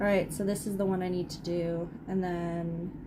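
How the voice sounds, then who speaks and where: With a Canadian accent, a woman speaks through noticeable background noise and audible room echo. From Canada. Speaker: livestreamer crafting. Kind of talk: casual livestream chat while crocheting. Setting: live stream with chat.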